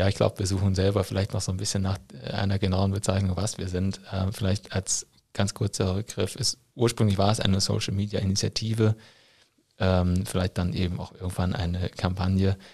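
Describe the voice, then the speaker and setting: Very deep and low in pitch, a man's voice has a dark, mellow tone that is somewhat breathy, with monotone, flat intonation at a fairly quick pace. The sound is dry and close with no echo, in a very clean recording over a silent background. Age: 30s. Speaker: teacher working in education ministry. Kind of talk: interview. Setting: studio, in person.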